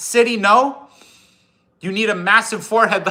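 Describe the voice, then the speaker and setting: This man has an American accent. He speaks at a fairly slow pace. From US Upper Midwest, South Dakota Northern Plains. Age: 30s. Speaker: axe restorer and outdoors livestreamer. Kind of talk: casual livestream chat. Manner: relaxed, conversational.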